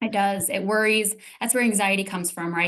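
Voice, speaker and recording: This woman speaks at a fairly quick pace. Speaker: transformational coach. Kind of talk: interview. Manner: fast; animated.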